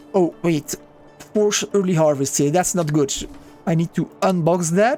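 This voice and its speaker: Fairly low-pitched woman at a moderate pace, ordinary pitch variation, music in the background. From Belgium (Flanders). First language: Flemish (Dutch). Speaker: gaming YouTuber. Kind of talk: gameplay commentary. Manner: casual, conversational.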